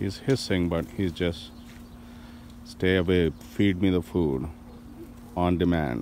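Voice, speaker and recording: A man with a very deep, low voice speaks at a very slow pace with ordinary pitch variation, in a dry sound with no echo over light background noise. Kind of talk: casual family video chat. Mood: playful, amused. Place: garden. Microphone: phone near.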